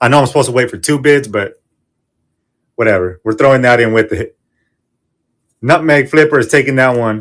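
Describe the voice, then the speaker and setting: A man at medium pitch speaks fairly quickly, with ordinary pitch variation and long, frequent pauses. The recording is very clean, the background silent. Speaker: online reseller running live auction show. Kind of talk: live selling stream. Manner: fast; animated.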